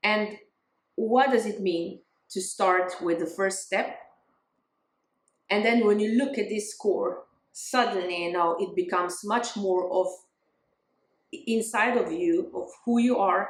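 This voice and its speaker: A woman at medium pitch, fairly slow, with ordinary pitch variation and long, frequent pauses. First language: not English. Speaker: spiritual growth vlogger, music teacher. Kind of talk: casual talking-head vlog. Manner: halting, with fillers and restarts.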